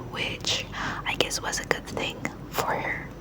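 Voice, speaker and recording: A whispering voice at a moderate pace over noticeable background noise. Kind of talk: read story. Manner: whispered, soft.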